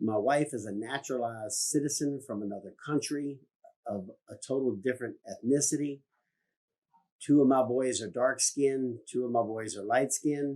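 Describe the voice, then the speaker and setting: A man speaks in a dark, mellow tone at a medium pitch. His pace is moderate, with ordinary pitch variation. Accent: Virginia. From US South, rural Virginia. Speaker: business owner. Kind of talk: public statement.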